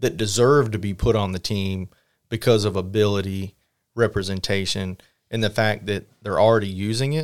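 Fairly low in pitch, a man with an unremarkable speaking voice talks at a fairly quick pace with fairly even intonation. The recording is very clean, with a silent background. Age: 40s. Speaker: RC car racer and team manager. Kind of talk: casual chat. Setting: at a race event.

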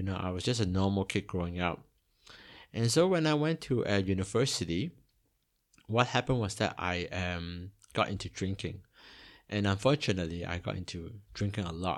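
The delivery has a moderate pace and lively intonation, broken by long, frequent pauses. The recording is very clean, with a silent background. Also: man, fairly low pitch for a man. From Hong Kong, then Toronto area, Canada from age eight. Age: 40s. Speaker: missionary and podcast host. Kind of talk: personal testimony. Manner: hesitant with many fillers.

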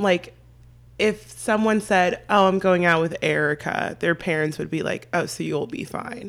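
The speaker uses a normal speaking voice at a fairly slow pace with ordinary pitch variation. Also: woman. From San Diego, California. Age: 20s. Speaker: podcast guest. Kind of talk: casual chat.

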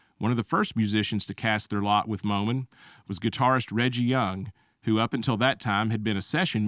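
In a normal speaking voice, a man talks at a medium pitch with fairly even intonation. The sound is dry and close with no echo, and the recording is very clean with a silent background. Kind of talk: scripted radio history segment, narrated like a short documentary. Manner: measured, informative, steady, formal.

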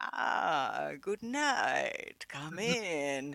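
A put-on character voice with a non-native accent. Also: man. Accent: foreign.

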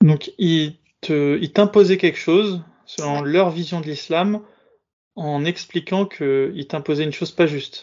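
A man's high-pitched voice unfolds at a fairly slow pace. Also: fairly even intonation. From Bobigny, Paris suburbs, France. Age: 30s. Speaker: podcast host. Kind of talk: interview.

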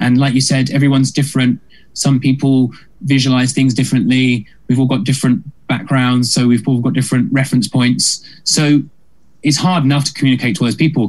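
A man speaks with a British accent at a medium pitch. His loudness stays very even. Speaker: musical comedian. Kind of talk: casual interview chat. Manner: fast talker.

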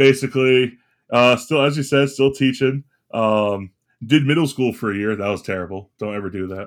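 A man with an American accent has a plain, everyday voice, medium pitch, ordinary pitch variation and a moderate pace. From Florida. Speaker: podcast co-host; teacher. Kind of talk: casual chat.

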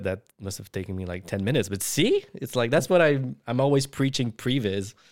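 A man uses an ordinary speaking voice at medium pitch, moving at a fairly quick pace. His intonation is lively. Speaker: VFX artist and director. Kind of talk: casual chat.

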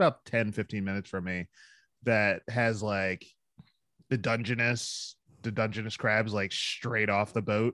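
Speaking at a fairly slow pace with fairly even intonation, a man with a Philadelphia accent has a fairly low pitch and a bright, sharp tone in a dry, close sound with no echo. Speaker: entrepreneur, hot sauce maker. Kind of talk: casual chat.

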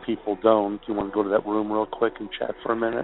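A man with an American accent, monotone and flat, at a fairly quick pace over music in the background. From Chicago. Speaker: caller. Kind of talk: phone call chat.

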